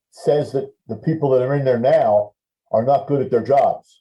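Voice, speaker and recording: A man speaks at a moderate pace with a fairly high pitch and lively intonation. His dark, mellow tone is somewhat breathy. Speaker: longtime hockey team public address announcer and guest. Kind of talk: interview answer. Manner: relaxed, conversational, hesitant with fillers.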